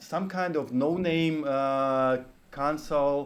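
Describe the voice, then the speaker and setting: In a room with audible echo, a man with a fairly high pitch talks very slowly with ordinary pitch variation. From Ukraine. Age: 30s. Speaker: game art studio executive. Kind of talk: podcast interview. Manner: halting, many fillers.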